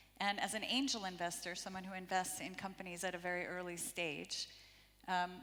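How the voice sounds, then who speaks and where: A woman's bright, sharp voice with an American accent, medium pitch, fairly even intonation and a fairly quick pace, with audible room echo. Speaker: impact investor. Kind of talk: conference panel talk. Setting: stage with audience.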